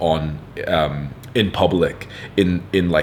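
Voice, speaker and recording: A man with a British accent and a very deep, low pitch speaks in an animated tone over noticeable background noise. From UK. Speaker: online content creator, self-improvement advice. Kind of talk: advice monologue reading viewer letter.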